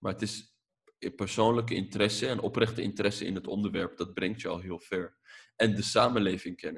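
Somewhat breathy and fairly low, a man's voice moves at a fairly quick pace in a flat monotone. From Netherlands. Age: 20s. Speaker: filmmaker and journalist. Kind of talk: casual podcast interview.

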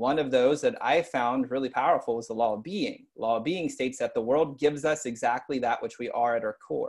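Recorded very cleanly over a silent background, a man with an American accent speaks at a moderate pace. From US South, East Texas. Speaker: personal development coach. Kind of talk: casual chat.

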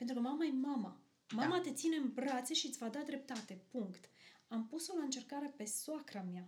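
A woman's high, lively voice at a fairly quick pace. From Romania, Arad. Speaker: kindergarten teacher, pastor's wife. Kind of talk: casual chat.

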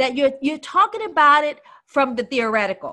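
A woman with a high pitch uses a raised, projected voice, animated and bright, sharp in tone, with very wide pitch swings in a very clean recording over a silent background. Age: 50s. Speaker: life strategist and minister. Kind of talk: casual chat.

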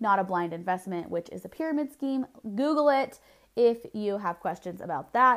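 A woman's medium-pitched voice with an American accent, very wide pitch swings and a moderate pace, on a very clean recording with a silent background. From Southern California. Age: 20s. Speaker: podcast host, network marketer. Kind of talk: solo podcast monologue.

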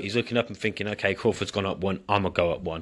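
In an English accent, a man talks very fast with a bright, sharp tone against a quiet background. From England. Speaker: boxing commentator, former amateur boxer. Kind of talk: solo commentary monologue.

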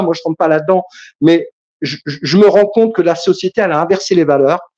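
This man has a high pitch and ordinary pitch variation, speaking at a moderate pace. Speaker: caller. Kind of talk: casual debate. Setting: online livestream.

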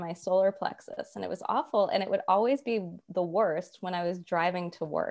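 A woman with an American accent has a normal speaking voice at medium pitch, speaking at a moderate pace with ordinary pitch variation. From US South, Atlanta. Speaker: money coach. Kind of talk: casual chat.

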